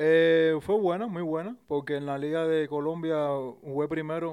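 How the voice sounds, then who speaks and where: A man speaks in a Cuban accent with fairly even intonation. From Cuba, Isla de la Juventud. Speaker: professional baseball player. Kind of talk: casual interview. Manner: halting, many repetitions and fillers.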